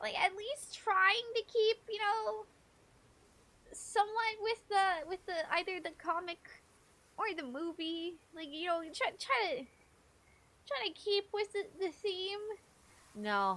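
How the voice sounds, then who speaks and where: The voice is raised and projected, with a bright, sharp tone and lively intonation. It moves at a very slow pace with long, frequent pauses. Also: woman, extremely high pitch for a woman. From Canada. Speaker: gaming streamer. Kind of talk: casual chat. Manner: animated.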